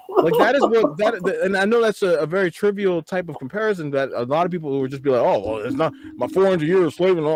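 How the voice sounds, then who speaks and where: A man speaks very fast and animated in a high voice, swinging his pitch very widely with hardly any pauses, over noticeable background noise. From US, Nigerian-American family. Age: 30s. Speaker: podcast co-host. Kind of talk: casual chat, reaction podcast.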